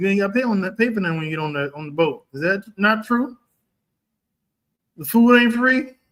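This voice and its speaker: In a Texan accent, a man speaks at a high pitch and a fairly quick pace. His intonation is lively. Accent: Texas, country. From Texas, Dallas. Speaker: livestream host, real estate commentator. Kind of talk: casual livestream chat. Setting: livestream. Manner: animated.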